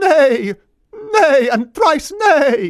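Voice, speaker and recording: In a put-on character voice, the speaker talks at a high pitch with very wide pitch swings. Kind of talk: archaic, medieval. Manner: neighing, theatrical.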